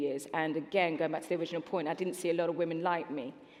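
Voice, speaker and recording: A woman speaks with a Birmingham accent. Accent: Brummie. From Birmingham, England. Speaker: sports broadcaster. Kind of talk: panel discussion.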